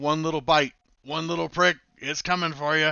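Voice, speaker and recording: Putting on a growling character voice, a man speaks at a fairly high pitch in a monotone, flat delivery at a moderate pace. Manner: snarling, goading.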